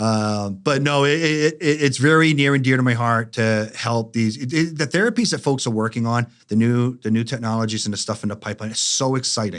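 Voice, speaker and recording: A man speaks at medium pitch with ordinary pitch variation. His pace is fairly quick, with hardly any pauses. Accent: Boston. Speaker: life science industry consultant. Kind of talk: podcast interview. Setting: studio.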